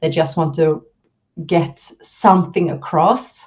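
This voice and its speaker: Here a woman speaks with a Swedish accent. Her pitch is fairly low and her pace fairly slow. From Sweden. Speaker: leadership and communication coach. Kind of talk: interview.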